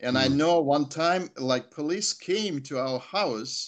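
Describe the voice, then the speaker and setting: A man speaks with a Russian accent. His intonation is lively. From Soviet Union. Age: 60s. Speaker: chaplain. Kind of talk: testimony. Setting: video call. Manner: halting.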